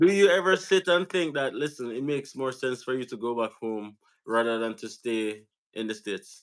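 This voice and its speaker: A man in a Jamaican accent at a medium pitch and moderate pace, with lively intonation, in a very clean recording with a silent background. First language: Jamaican Patois. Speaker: YouTube host. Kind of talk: live-stream interview.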